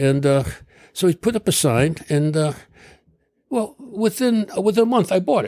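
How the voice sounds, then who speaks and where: Someone with an American accent talks at a moderate pace with very wide pitch swings and long, frequent pauses, on a very clean recording over a silent background. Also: man, high pitch for a man. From Connecticut, US. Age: 80s+. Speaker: retired doctor. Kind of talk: interview.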